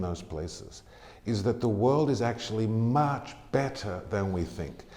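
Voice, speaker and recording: Audible room echo surrounds a man with an American accent whose dark, mellow, fairly low voice moves at a moderate pace with lively intonation. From Australia (Tamworth, NSW). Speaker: charity CEO. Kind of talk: interview.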